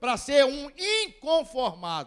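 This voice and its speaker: Very slowly, a man speaks in an extremely high pitch. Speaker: pastor. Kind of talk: sermon.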